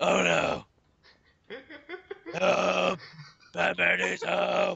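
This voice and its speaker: Using a put-on character voice, the man pitches it extremely high. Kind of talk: comic overacting. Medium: game stream. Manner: mock-heroic, boastful, shouting.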